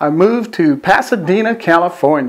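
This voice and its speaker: A man with an American accent speaks at a high pitch in a warm tone. His intonation is lively. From US Midwest (Pontiac, Michigan). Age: 60s. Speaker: video producer. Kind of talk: personal video message. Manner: warm, conversational.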